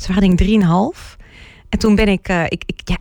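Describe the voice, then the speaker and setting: The speaker moves at a fairly quick pace. It is an unremarkable speaking voice. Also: woman. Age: 40s. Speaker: relationship coach. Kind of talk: casual interview.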